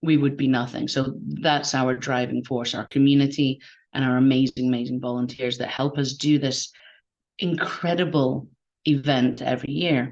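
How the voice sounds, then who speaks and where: Speaking with a Scottish accent, a woman uses a very deep, low pitch, fairly even intonation and a moderate pace. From Scotland. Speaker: game jam organizer. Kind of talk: online event interview.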